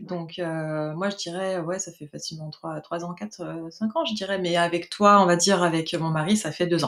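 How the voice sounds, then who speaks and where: A woman's fairly low-pitched voice at a moderate pace, fairly even in intonation but with big swings in loudness. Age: 40s. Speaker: mobile hairdresser giving a client testimonial. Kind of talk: testimony interview. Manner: hesitant, many fillers.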